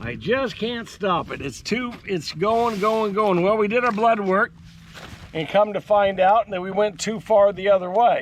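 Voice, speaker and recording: Speaking at a very slow pace, a man uses a high-pitched voice with ordinary pitch variation. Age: 60s. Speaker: farmer. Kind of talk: vlog monologue. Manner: halting.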